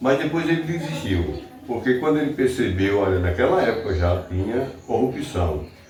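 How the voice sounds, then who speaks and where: There is audible room echo and noticeable background noise as a man speaks at a moderate pace. His voice sits at medium pitch but swings very widely. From Brazil, Alagoas (Joaquim Gomes). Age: 60s. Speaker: local writer. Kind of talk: interview.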